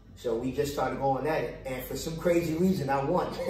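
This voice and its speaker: Audible room echo and noticeable background noise fill the recording. The speaking pace is moderate. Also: man. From Brooklyn, New York. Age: 50s. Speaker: street dancer. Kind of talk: casual chat.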